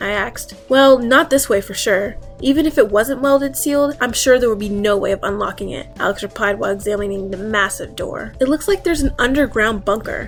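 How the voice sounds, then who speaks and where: This woman talks at a fairly quick pace with hardly any pauses, in a fairly high pitch. Her pitch varies in an ordinary way, and music plays in the background. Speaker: reddit story narrator. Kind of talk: horror story reading.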